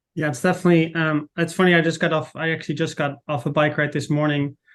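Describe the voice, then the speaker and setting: Speaking at a moderate pace against a quiet background, a man with a Dutch accent uses a fairly high pitch and monotone, flat intonation. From Netherlands. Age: 40s. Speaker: footwear marketing manager. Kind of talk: casual interview chat.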